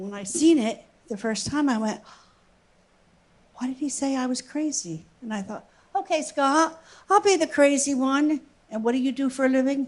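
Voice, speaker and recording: A woman's high-pitched voice at a moderate pace, with lively intonation, big swings in loudness, and long, frequent pauses. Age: 70s. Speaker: church member sharing skydiving story. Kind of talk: testimony. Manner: halting.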